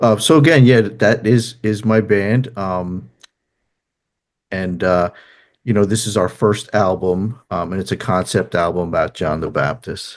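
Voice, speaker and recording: A man with a strong New Jersey accent, fairly low pitch, ordinary pitch variation and a fairly slow pace against a quiet background. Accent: thick New Jersey. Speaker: musician and therapist. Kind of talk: interview. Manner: halting, many fillers.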